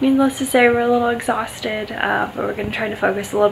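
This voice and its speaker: A woman is speaking. Noticeable background noise runs under her voice. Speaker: pet owner vlogger. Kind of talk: casual vlog chat. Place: garage. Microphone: phone near.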